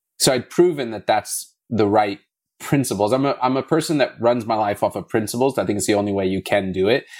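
Talking at a fairly quick pace, a man with a plain, everyday voice has medium pitch and ordinary pitch variation. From South Africa, moved to US at eleven. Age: 30s. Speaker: blockchain gaming entrepreneur. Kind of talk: interview.

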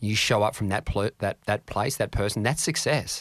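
In a very clean recording with a silent background, a man with an Australian accent talks at a fairly quick pace in a fairly low pitch. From Australia, Canberra. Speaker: mindset coach. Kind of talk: interview answering listener questions.

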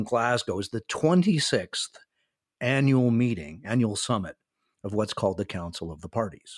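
Speaking at a moderate pace with lively intonation, a man with an American accent uses a medium pitch and a normal speaking voice, in a dry, close recording with no echo that is very clean with a silent background. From North America (Canada and US). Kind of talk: interview.

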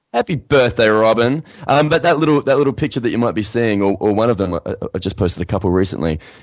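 With an Australian accent, a man at a medium pitch talks at a very fast pace with lively intonation. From Australia, Adelaide. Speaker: singer-songwriter. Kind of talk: casual interview.

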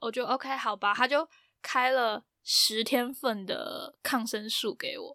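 A woman talks at a very slow pace in a dry, close sound with no echo. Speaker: podcast host. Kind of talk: casual chat.

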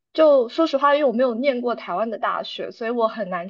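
High in pitch, a woman's voice carries lively intonation. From Taiwan. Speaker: graduate student. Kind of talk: interview. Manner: clear enunciation.

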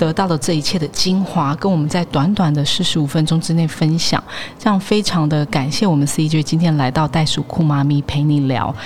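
A woman speaks at a moderate pace with a very deep, low pitch. Noticeable background noise sits behind her. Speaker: podcast host. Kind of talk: interview.

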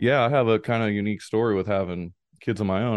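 Here a man speaks in a normal speaking voice at a fairly low pitch. His pace is fairly quick. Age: 40s. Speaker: author and business professor. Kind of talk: interview.

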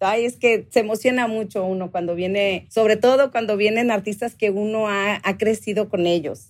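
A woman's fairly high voice at a fairly slow pace. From Mexicali, Mexico. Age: 40s. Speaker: guitar pickup maker. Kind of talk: interview. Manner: animated.

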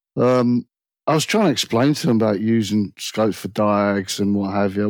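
A man's fairly low voice with a British accent, dry and close with no echo, on a very clean recording over a silent background. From Britain. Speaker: automotive technician. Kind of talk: casual chat.

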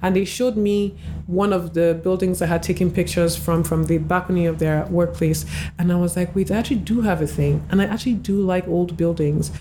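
With noticeable background noise, a woman speaks fairly quickly in a fairly low pitch, keeping very even loudness and fairly even intonation. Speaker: clinical therapist and architectural photographer. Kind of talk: casual interview.

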